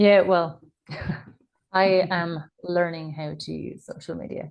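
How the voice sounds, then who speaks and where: With an Irish accent, a woman speaks at a fairly slow pace in a fairly low, monotone, flat voice with big swings in loudness. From Ireland. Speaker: nurse and parent coach. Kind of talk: podcast interview.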